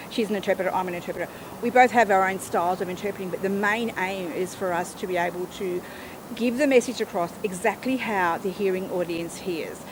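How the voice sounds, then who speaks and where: Over noticeable background noise, a woman with an Australian accent speaks at a fairly quick pace, a medium pitch and ordinary pitch variation. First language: Auslan (sign language). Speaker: sign language interpreter. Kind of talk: interview.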